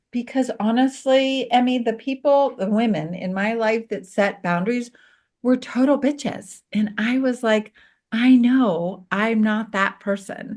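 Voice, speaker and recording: Here is a woman with a plain, everyday voice. She speaks at a fairly slow pace. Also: fairly high pitch for a woman, ordinary pitch variation. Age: 60s. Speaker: conflict resolution specialist. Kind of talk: casual chat.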